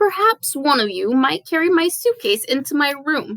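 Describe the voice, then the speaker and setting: A woman does a put-on character voice, high-pitched and wheezy, with very wide pitch swings. She speaks at a moderate pace. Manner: smug, demanding.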